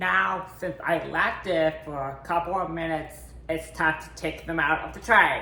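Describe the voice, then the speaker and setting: The talking goes at a fairly slow pace, with noticeable background noise. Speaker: home baking vlogger. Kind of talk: casual cooking tutorial. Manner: animated.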